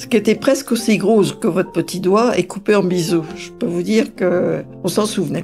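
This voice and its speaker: Music behind a woman's medium-pitched voice. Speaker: grandmother recounting her life. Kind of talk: life story interview. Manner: conversational with hesitations.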